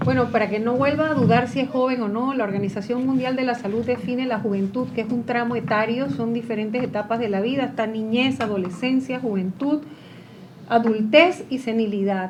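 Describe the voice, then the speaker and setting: Amid noticeable background noise and audible room echo, a woman speaks fairly quickly in a fairly high voice. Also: ordinary pitch variation. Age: 60s. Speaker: former legislator. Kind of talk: panel discussion.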